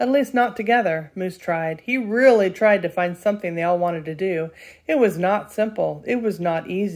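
An unforced voice reading a passage

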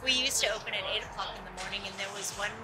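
Music plays in the background as a woman speaks. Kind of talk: interview answer. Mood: warm, cheerful. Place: street.

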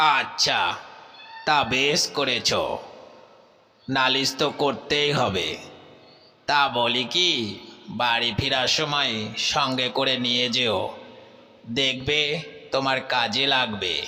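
A woman performs a cartoonish character voice pitched very deep and low. She speaks at a very slow pace. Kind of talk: children's cartoon storytelling.

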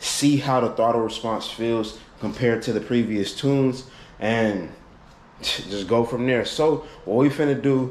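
Talking at a fairly slow pace, a man's voice is carried by audible room echo. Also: ordinary pitch variation. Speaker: car vlogger. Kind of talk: casual vlog chat. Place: garage. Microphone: phone near.

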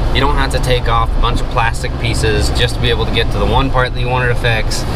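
A man talks at a fairly quick pace with loud background noise behind him. The sound itself is dry with no echo. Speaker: car vlogger. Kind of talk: casual vlog chat. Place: car. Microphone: phone near.

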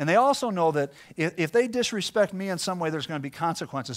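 A man with a high pitch uses lively intonation against a quiet background. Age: 40s. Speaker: pastor. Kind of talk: sermon. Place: church.

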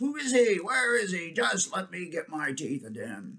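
A man uses a put-on character voice with growling, a slightly husky edge and a bright, sharp tone. He speaks at a moderate pace and a high pitch with very wide pitch swings.

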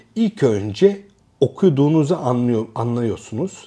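A man speaks at a fairly slow pace in a dark, mellow tone with very wide pitch swings. The background is quiet. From Turkey. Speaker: academic and educational youtuber; educational youtuber. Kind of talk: casual educational monologue. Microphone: lapel.

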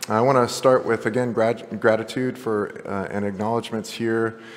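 Moderate pace from a man with monotone, flat intonation. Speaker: presenter. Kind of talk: conference talk. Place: hall.

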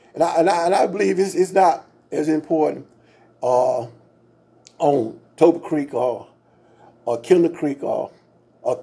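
The tone is dark and mellow, and the pace is fairly slow. Pitch moves with ordinary variation. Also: man. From US South, Georgia. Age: 70s. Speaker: pastor and local historian. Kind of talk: interview about local history. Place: studio. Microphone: studio mic.

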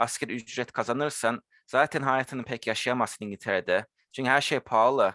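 At a fairly quick pace, a man with a medium pitch and a bright, sharp tone speaks with fairly even intonation against a quiet background. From London, England (Turkish family). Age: 20s. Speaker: university lab technician. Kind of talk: casual interview.

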